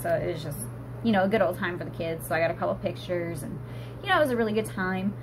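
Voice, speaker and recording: A woman's fairly low voice swings very widely in pitch. Noticeable background noise and audible room echo surround her. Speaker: vlogger, stay-at-home mom. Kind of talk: casual vlog chat. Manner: trying to speak quicker.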